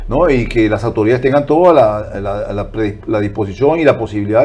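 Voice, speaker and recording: Speaking at a fairly quick pace, a man with a dark, mellow tone sounds somewhat breathy, his intonation lively. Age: 60s. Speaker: political commentator and broadcaster. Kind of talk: interview. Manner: animated.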